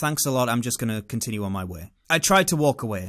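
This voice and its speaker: A man speaks with a British accent. His pitch swings very widely. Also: very clean recording, silent background. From England. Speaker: vlogger. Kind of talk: storytelling monologue. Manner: animated.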